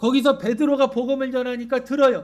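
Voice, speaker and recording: A man speaks at a moderate pace in an extremely high voice. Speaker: pastor. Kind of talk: sermon. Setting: church.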